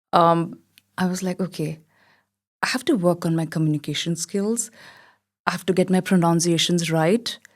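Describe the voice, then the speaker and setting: In a very clean recording with a silent background, someone speaks at a moderate pace with an Indian accent and ordinary pitch variation. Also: woman. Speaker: model and theatre actor. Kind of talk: podcast interview.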